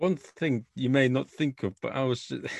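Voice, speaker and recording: Medium-pitched man with an English accent, in a dry, close sound with no echo. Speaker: podcast host. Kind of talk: casual interview chat.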